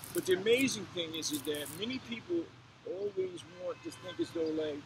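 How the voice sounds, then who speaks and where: There is noticeable background noise behind a man's voice. He speaks at a moderate pace with a high pitch. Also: lively intonation. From New Jersey, Orange. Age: 60s. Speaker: author. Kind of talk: casual interview.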